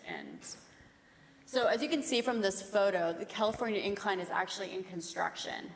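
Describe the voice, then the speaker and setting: A woman talks with an American accent. Noticeable background noise is present. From United States. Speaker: bridge engineer. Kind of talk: technical presentation.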